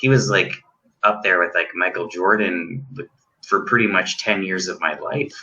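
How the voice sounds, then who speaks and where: A man with a Canadian accent at a moderate pace, an ordinary speaking voice with ordinary pitch variation. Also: fairly low pitch for a man. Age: 40s. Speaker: guest. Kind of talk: casual chat.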